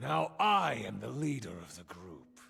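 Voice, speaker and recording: A man uses a put-on character voice with a very deep, low pitch and a raspy sound. He moves at a fairly slow pace with very wide pitch swings. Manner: overconfident, smooth, boastful.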